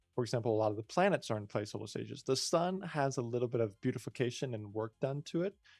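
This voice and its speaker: At a very fast pace with hardly any pauses, a man speaks at a medium pitch in a dry, close sound with no echo and a quiet background. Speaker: indie game developer. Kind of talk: tutorial. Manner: halting.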